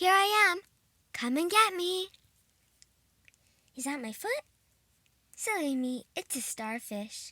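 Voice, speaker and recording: A female-sounding put-on character voice, extremely high in pitch, with very wide pitch swings, a fairly slow pace and long, frequent pauses. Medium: read story. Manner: bright, friendly.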